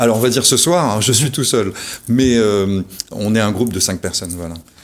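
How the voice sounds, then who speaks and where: A man speaks at a moderate pace with a fairly low pitch and ordinary pitch variation. Noticeable background noise is present. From Réunion. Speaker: musician, band founder. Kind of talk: radio interview. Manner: hesitant, many fillers.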